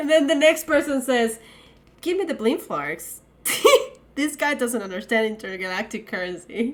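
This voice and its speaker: A woman with a non-native accent talks in an animated tone at a high pitch, with very wide pitch swings. Her pace is moderate, with long, frequent pauses. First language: not English. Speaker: podcast co-host. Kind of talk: casual chat.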